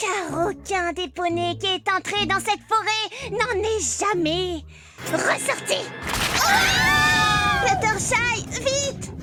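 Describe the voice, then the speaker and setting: A woman performs a put-on character voice at an extremely high pitch, speaking at a very slow pace while clear music plays in the background. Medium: fan dub. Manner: brash, energetic.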